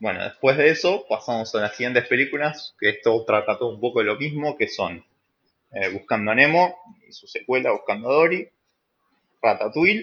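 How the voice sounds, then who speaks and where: With a quiet background, a man talks at a moderate pace, his loudness swinging widely. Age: 20s. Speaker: podcast host. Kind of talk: casual chat.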